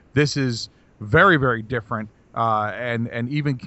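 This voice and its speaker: A man speaks at a medium pitch in a normal speaking voice. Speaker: podcast co-host. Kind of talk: casual banter podcast chat.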